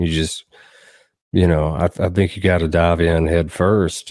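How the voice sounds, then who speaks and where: In a Southern US accent, a man speaks at a fairly slow pace with a very deep, low pitch. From southern Middle Tennessee. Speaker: songwriter and musician. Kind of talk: casual interview chat. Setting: remote podcast call.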